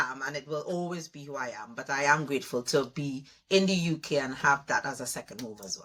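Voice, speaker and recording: Very deep, low woman's voice with a Trinidadian accent, a bright, sharp tone and lively intonation. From Trinidad (Malabar, Arima, east). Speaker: education leadership consultant. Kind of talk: interview conversation.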